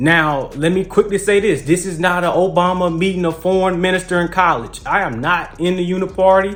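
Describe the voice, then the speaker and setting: A man with an American accent speaks at a fairly quick pace with hardly any pauses. His voice is high-pitched, and his intonation stays fairly even. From US South (Mississippi). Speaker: political commentary youtuber. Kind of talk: casual vlog monologue. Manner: halting, many fillers.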